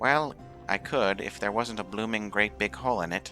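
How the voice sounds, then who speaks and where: Clear music plays behind a man doing a put-on character voice. He speaks at a moderate pace with a fairly low pitch. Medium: game stream. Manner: hurried, fussy.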